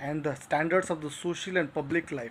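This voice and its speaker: A moderate pace over light background noise. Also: man. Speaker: literature teacher. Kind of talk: lecture. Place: home room. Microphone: phone near.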